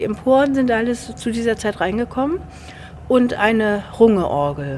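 Speaking at a fairly slow pace, a woman with a fairly high voice uses lively intonation over noticeable background noise. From Gadebusch, Mecklenburg, northern Germany. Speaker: church musician. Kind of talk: interview.

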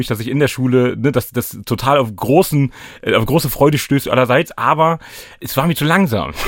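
Recorded very cleanly against a silent background, a man speaks at a fairly quick pace in an unremarkable speaking voice of medium pitch with ordinary pitch variation. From Hannover, Lower Saxony (northern Germany). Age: 30s. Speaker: anti-racism trainer and rapper. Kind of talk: casual chat.

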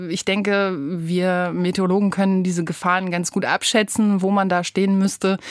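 A woman's medium-pitched voice, an ordinary speaking voice, at a fairly slow pace. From northern Germany coast (Rostock). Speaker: meteorologist and radio weather presenter. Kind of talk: casual interview. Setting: radio studio.

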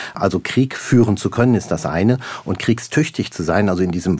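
At a fairly slow pace, a man with a plain, everyday voice speaks at medium pitch with ordinary pitch variation, in a very clean recording with a silent background. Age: 50s. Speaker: military chief. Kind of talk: interview. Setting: studio.

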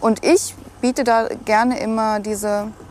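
With noticeable background noise behind her, a woman speaks at a fairly high pitch in a monotone, flat intonation. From Thuringia, Germany (near Nordhausen, southern Harz). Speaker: angler. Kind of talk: casual chat. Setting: outdoors.

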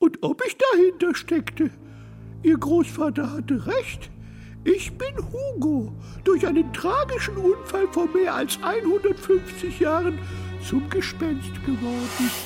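Someone talks at a fairly slow pace in a put-on character voice. Clear music plays in the background. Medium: audio drama. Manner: touchy, vain, easily excited.

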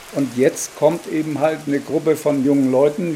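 Through noticeable background noise, a man with a fairly high pitch speaks with fairly even intonation. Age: 60s. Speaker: farmer and village mayor. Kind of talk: interview.

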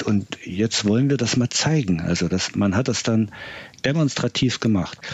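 His pitch falls in the middle range. The voice is a man's. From East Germany. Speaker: social scientist. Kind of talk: expert interview. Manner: halting, many fillers.

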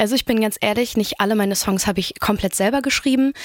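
Very fast speech comes from a woman with a medium pitch. The recording is very clean, with a silent background. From Rostock, northern Germany. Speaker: pop singer-songwriter. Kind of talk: radio interview. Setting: radio studio.

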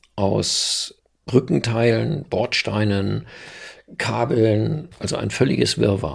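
A man speaks with vocal fry at a fairly low pitch. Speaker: local journalist, eyewitness. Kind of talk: interview testimony.

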